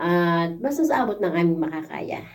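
A woman's dark, mellow voice at medium pitch and a moderate pace. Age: 50s. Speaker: overseas worker vlogger. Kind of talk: casual vlog thank-you message.

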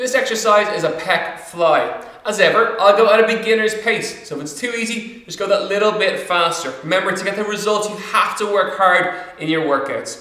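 A man's raised, projected voice, high-pitched, at a moderate pace with hardly any pauses, quiet background, audible room echo. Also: ordinary pitch variation. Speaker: fitness instructor. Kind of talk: workout instruction. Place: empty room.

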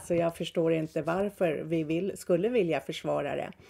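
Her voice sits fairly low for a woman and carries a dark, mellow tone. She speaks at a moderate pace. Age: 60s. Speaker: podcaster. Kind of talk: monologue. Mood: critical, indignant. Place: home room. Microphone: webcam.

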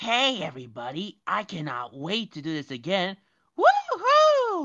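In a put-on character voice, a female-sounding speaker talks at a fairly slow pace with a medium pitch. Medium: audio drama. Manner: upbeat, boisterous.

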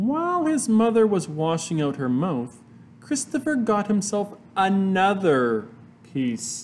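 The clip is read in an unforced reading voice.

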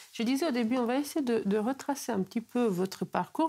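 Her pace is moderate. This woman's pitch rises and falls very widely. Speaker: interviewer. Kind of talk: interview. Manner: halting, repeats words. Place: home room.

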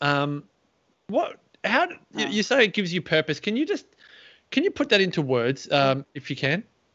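Pitch moves with ordinary variation here. Little can be heard behind the speaker, as the background is quiet. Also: man. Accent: Australian. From Australia. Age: 40s. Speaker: podcast host. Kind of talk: interview. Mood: warm, curious. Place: home room.

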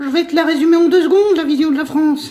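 This is a cartoonish character voice. It is pitched high. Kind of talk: comic political heckling. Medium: puppet show. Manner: rude, indignant, sarcastic, colloquial.

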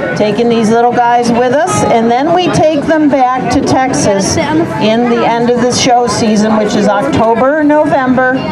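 Loud background noise behind a woman speaking at a moderate pace. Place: stage.

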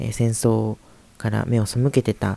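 A man's fairly low voice, dark and mellow in tone, with monotone, flat intonation. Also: dry, close sound with no echo. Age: 20s. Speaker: grandson interviewing his grandfather. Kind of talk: introduction to camera. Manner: hesitant, many fillers.

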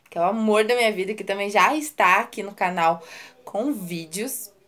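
A woman is talking. Her voice shows ordinary pitch variation. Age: 20s. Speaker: YouTuber. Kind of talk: vlog self-introduction. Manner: animated.

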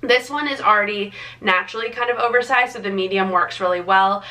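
Her pace is fairly quick, and this woman uses ordinary pitch variation. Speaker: lifestyle vlogger. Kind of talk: casual vlog chat. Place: home room.

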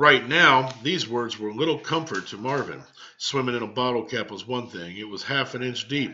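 The pitch shifts in an ordinary way across this natural reading voice.

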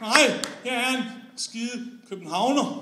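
A man's voice sits extremely high in pitch, raised and projected. He talks at a fairly slow pace with noticeable background noise. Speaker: slam poet. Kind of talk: slam poem, performed spoken word with comic satire on Copenhagen versus the provinces. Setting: stage with audience. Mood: ironic, humorous. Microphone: camera far.

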